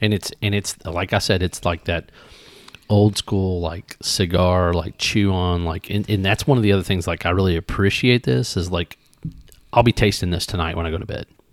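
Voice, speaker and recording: In a Southern Indiana accent, a man with a very deep, low pitch talks at a moderate pace with fairly even intonation, captured in a very clean recording with a silent background and a dry, close sound with no echo. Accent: Southern Indiana twang. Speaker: podcast host, whiskey reviewer. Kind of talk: casual tasting chat.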